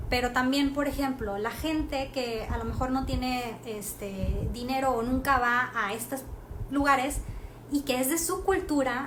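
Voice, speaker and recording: A woman's voice sits high in pitch with ordinary pitch variation. The room echo is audible, and there is noticeable background noise. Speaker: art history presenter. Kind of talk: live stream talk. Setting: Instagram live stream. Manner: many fillers, halting.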